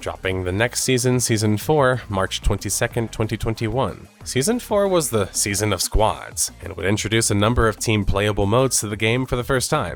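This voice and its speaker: Music plays in the background. A man speaks with hardly any pauses. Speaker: gaming video essayist. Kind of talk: video essay narration.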